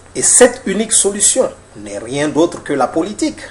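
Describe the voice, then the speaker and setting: A man speaks with very wide pitch swings. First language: Mandinka (speaking French). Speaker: author and political commentator. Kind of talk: lecture. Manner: formal.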